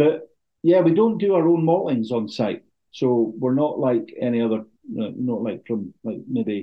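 A man with a northern Scottish accent speaks at a fairly slow pace in a medium-pitched voice that swings very widely in pitch. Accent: northern Scottish (Caithness). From Scotland, Thurso (far north Highlands). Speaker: distillery representative. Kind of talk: casual interview.

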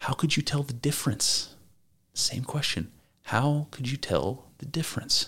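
The delivery is fairly slow, with fairly even intonation. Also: man, fairly high pitch for a man. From US, not the South. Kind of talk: solo lecture-style talk. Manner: casual with fillers and repetitions.

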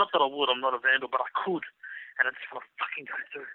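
This man has an Australian accent and a fairly high pitch. He talks at a very fast pace. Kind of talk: casual chat. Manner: animated.

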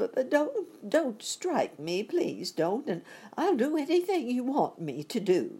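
A put-on character voice speaks at a high pitch and fairly slow pace. It sounds shaky, with very wide pitch swings. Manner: begging.

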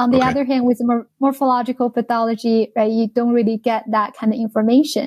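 A woman with a Chinese accent speaks very fast at a high pitch, in a flat monotone with very even loudness. She hardly pauses, and the sound is dry and close with no echo. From China, Jinan in Shandong province. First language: Mandarin Chinese. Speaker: biotech research executive. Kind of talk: interview. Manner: hesitant, many fillers.

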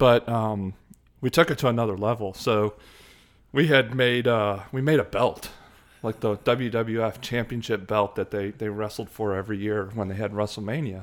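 A man with an American accent and an ordinary speaking voice, fairly low pitch, fairly even intonation and a moderate pace. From Chicago suburbs, US Midwest. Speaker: hockey enthusiast. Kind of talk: casual chat. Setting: in person.

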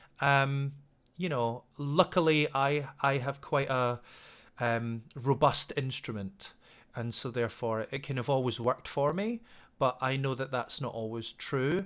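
A man with a west of Scotland accent at a fairly slow pace, on a very clean recording with a silent background. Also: medium pitch for a man, ordinary pitch variation. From west coast of Scotland. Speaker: singing teacher. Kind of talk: interview. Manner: hesitant, many fillers.

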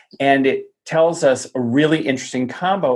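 Using an ordinary speaking voice with an American accent, a man talks at a medium pitch and moderate pace with fairly even intonation. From US Southwest (Tucson, Arizona). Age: 40s. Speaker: palm reader. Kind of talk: podcast interview.

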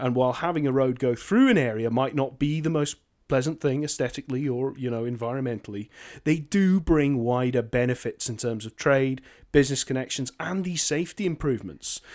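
A man with a Scottish accent talks at a fairly quick pace with ordinary pitch variation, on a very clean recording with a silent background. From northern Scotland. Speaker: podcast co-host. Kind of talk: casual discussion.

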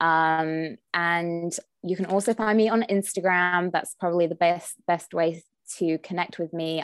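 A woman with an English accent and a fairly low pitch, fairly even intonation and a fairly slow pace, dry and close with no echo, on a very clean recording with a silent background. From England. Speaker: nutritionist and wellness coach. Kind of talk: interview.

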